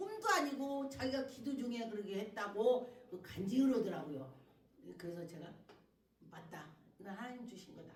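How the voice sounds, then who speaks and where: A woman with a Chungcheong accent talks in an animated way at a moderate pace, her fairly high voice swinging greatly in loudness, broken by long, frequent pauses, with audible room echo and noticeable background noise. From Chungcheong, South Korea. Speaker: pastor. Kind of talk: sermon. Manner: animated, colloquial.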